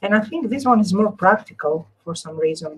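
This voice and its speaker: A woman talks at a fairly slow pace with a medium pitch. Her voice is somewhat breathy. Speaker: crafter, live stream host. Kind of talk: craft tutorial with live chat. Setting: live stream.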